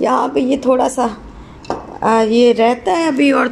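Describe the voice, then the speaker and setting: A woman's voice with noticeable background noise. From Pakistan. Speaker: cooking vlogger and mother. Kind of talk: casual vlog talk.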